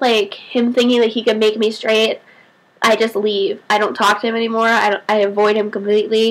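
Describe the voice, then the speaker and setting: Fairly quick and fairly high-pitched, a woman talks in a monotone, flat intonation. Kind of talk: casual vlog talk to camera. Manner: stutters at times.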